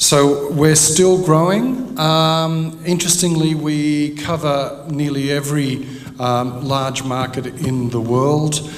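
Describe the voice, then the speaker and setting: Man with an Australian accent, fairly high pitch, very slow pace, hardly any pauses and ordinary pitch variation, amid noticeable background noise and audible room echo. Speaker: head of publishers association. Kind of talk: conference presentation.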